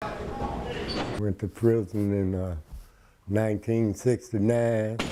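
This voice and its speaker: In a Memphis accent, the speaker talks very slowly with monotone, flat intonation as noticeable background noise sits behind the voice. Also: man, fairly low pitch for a man. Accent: Southern US, Memphis. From US South, Memphis, Tennessee. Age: 60s. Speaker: former prisoner. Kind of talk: interview testimony.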